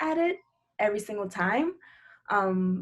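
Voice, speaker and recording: In a Spanish accent, a woman talks at a fairly slow pace. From Dominican Republic and Puerto Rico. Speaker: higher ed administrator and financial content creator. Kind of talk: interview podcast.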